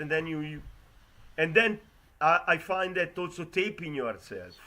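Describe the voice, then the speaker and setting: A man with an Italian accent, high-pitched, at a moderate pace and with fairly even intonation. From Italy. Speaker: competition judge. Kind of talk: judge feedback. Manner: halting.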